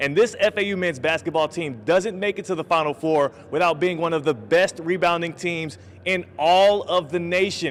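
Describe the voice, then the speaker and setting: Here a man speaks in an energetic tone at a high pitch. His pitch varies in an ordinary way. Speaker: sports anchor / reporter. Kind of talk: TV sports news reporting, upbeat broadcast delivery. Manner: energetic, jokey.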